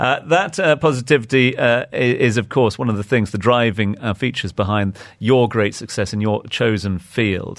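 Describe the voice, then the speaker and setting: A man speaks in a normal speaking voice at a medium pitch and a moderate pace, with ordinary pitch variation. He leaves hardly any pauses. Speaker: radio interviewer. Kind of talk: interview. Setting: radio studio.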